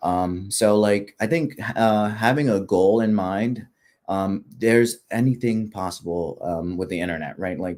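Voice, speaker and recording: Fairly low in pitch, a man's voice moves at a fairly slow pace. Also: ordinary pitch variation. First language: not English. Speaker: pharmacist, postgraduate fellowship guest. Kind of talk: career advice interview. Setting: livestream.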